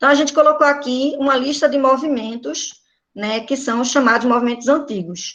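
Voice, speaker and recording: Ordinary pitch variation from a woman with a high pitch, keeping a moderate pace. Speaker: teacher. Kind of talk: online class lecture. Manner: informal.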